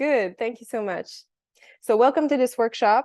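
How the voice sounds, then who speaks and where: In a strong Quebec accent, a woman speaks with ordinary pitch variation, her voice dry and close with no echo against a quiet background. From Quebec City. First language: French. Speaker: workshop presenter, biologist. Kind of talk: online workshop presentation. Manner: hesitant, searching for words.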